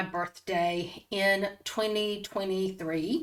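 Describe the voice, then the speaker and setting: The delivery is very slow, in a Southern US accent. The tone comes across bright and sharp. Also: woman. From North Carolina, near Raleigh. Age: 60s. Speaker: retiree vlogger. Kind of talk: casual personal vlog talk.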